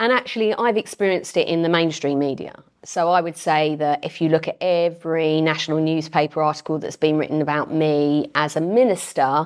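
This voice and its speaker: A woman speaks at a fairly quick pace with a very deep, low pitch and ordinary pitch variation. She has a Thames Estuary accent. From Medway, Kent, England. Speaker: member of parliament. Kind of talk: interview.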